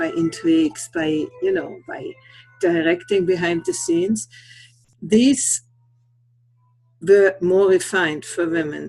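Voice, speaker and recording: With music in the background, a woman with a non-native accent talks at a very slow pace, pausing long and often. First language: not English. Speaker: conference speaker. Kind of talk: talk rehearsal on integral theory. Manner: halting, searching for words.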